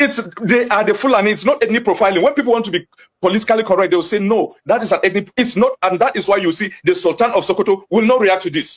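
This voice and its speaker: Speaking very fast with a Nigerian accent, a man uses a high pitch with ordinary pitch variation. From Nigeria, Jos (Plateau State). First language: Hausa. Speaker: community voice from attacked area. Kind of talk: TV interview. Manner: animated.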